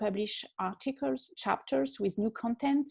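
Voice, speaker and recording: A woman's fairly high-pitched voice in a French accent, dark and mellow in tone, at a moderate pace, with a dry, close sound and no echo. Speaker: fashion historian. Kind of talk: online panel interview. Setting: video call. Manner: hesitant, many fillers.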